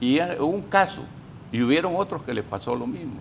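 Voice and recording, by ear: A man speaks with vocal fry. His intonation is lively.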